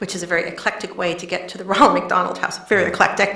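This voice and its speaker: A woman with an American accent and a medium-pitched voice is heard amid noticeable background noise and audible room echo. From Pennsylvania, US. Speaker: nonprofit director. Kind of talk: interview.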